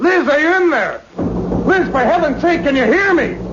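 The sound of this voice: A man puts on a character voice at an extremely high pitch with a fairly bright tone. His intonation is lively and his pace moderate.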